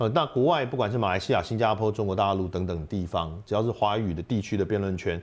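A man speaks with hardly any pauses. His pitch is fairly low, with ordinary variation. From Taiwan, second-generation mainlander family. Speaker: voice actor and debate association head. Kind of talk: casual interview chat.

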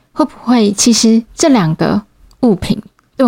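Somewhat breathy, lively intonation at a fairly slow pace, with a dry, close sound and no echo. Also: woman. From Taiwan, Changhua. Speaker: podcast host. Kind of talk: solo podcast monologue.

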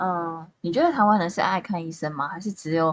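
This is an unremarkable speaking voice with lively intonation. It moves at a fairly quick pace. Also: woman. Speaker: amateur podcast co-host. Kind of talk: casual chat.

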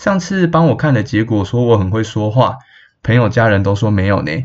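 In a Taiwanese accent, a man speaks at a medium pitch with a somewhat breathy sound. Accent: Taiwanese Mandarin. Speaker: podcast host and astrology reader. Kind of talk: casual solo podcast talk.

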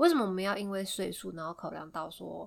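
The recording is very clean, with a silent background. A woman talks at medium pitch with ordinary pitch variation. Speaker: podcast co-host. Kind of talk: casual chat.

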